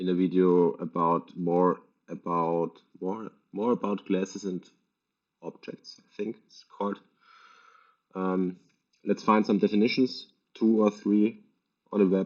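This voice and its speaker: A man's very deep, low voice at a fairly slow pace, with fairly even intonation, big swings in loudness and long, frequent pauses. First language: German. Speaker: programming tutor. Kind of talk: tutorial. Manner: halting.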